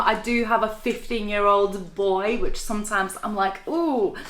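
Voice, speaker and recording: A woman's bright, sharp voice at a moderate pace with hardly any pauses, in audible room echo. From Latvia. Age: 30s. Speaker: network marketing entrepreneur. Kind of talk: interview.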